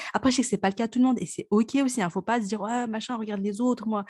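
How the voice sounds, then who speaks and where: On a very clean recording with a silent background, a woman with a fairly high pitch sounds somewhat breathy. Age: 30s. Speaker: podcast host. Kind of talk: casual chat.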